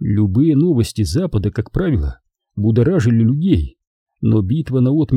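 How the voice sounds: The reading voice sounds natural, with lively intonation. Little can be heard behind it.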